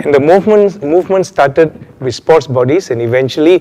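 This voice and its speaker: With noticeable background noise behind him, a man speaks with ordinary pitch variation. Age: 70s. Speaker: retired doctor and former Olympic athlete. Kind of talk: interview testimony. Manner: measured with frequent hesitations.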